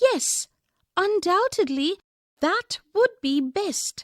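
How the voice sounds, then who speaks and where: A squeaky put-on character voice from a woman, extremely high in pitch, very slow, with very wide pitch swings and a dry, close sound with no echo. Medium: read story. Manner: soft-spoken, whispering.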